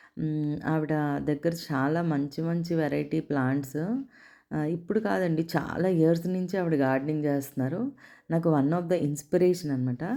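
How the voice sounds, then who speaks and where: A woman's very deep, low voice with a dark, mellow tone and ordinary pitch variation, in a very clean recording against a silent background. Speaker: home gardener, garden vlogger. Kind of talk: casual vlog narration and interview. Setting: outdoors, garden with background noise.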